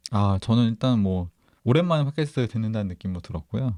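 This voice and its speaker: In a very clean recording with a silent background, a man with a fairly low voice and a dark, mellow tone talks at a fairly quick pace with lively intonation, the sound dry and close with no echo. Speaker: podcast co-host. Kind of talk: casual chat.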